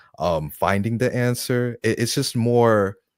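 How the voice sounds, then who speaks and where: On a very clean recording with a silent background, a man's voice comes across dry and close with no echo. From Kenya. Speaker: young entrepreneur. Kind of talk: casual interview. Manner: halting.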